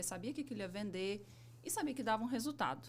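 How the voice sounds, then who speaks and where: A woman talks at a very fast pace with a Minas Gerais accent. Her pitch swings very widely. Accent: Minas Gerais accent, sing-song. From Minas Gerais, Brazil (Belo Horizonte). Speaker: civil engineer, business owner. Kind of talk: podcast interview.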